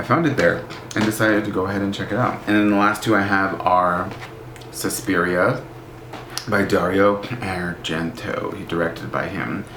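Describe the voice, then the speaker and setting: A man with a fairly low voice and ordinary pitch variation is heard with audible room echo and noticeable background noise. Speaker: book vlogger. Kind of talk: casual vlog. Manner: animated.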